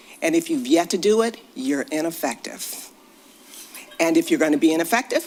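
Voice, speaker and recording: Her pitch swings very widely as she talks. This woman has an American accent. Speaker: public commenter, local resident. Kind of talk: public comment at board meeting. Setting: school board meeting.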